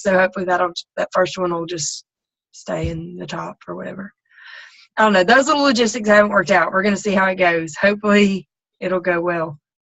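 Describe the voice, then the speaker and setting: A woman in a Southern US accent, fairly quick in pace and fairly even in intonation. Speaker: team coach leading a group call. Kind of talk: casual group call briefing. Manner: hesitant, many ums and you knows.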